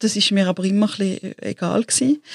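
The voice is somewhat breathy, with fairly even intonation and a dry, close sound that has no echo. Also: woman. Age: 40s. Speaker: entrepreneur and creative consultant. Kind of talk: interview conversation.

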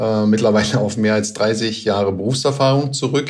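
A medium-pitched man speaks at a moderate pace with ordinary pitch variation. Audible room echo and noticeable background noise surround him. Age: 50s. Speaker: plant manager. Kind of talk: pre-recorded interview.

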